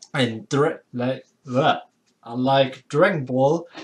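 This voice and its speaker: The speaker has a strong German accent and talks at a very slow pace. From Germany. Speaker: anime video creator. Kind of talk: casual commentary monologue. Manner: halting, many fillers.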